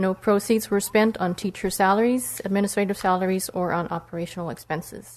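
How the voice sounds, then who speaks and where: In a normal speaking voice, a woman talks at a fairly quick pace with medium pitch and ordinary pitch variation. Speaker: citizens oversight committee member. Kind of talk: formal report presentation.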